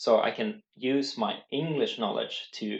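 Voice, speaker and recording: A man with a Swedish accent. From Sweden. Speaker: language learning youtuber. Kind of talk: casual tutorial. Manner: halting.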